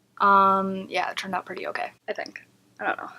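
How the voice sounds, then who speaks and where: The soft-spoken woman talks at a medium pitch. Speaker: beauty vlogger. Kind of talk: casual chat. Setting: at home.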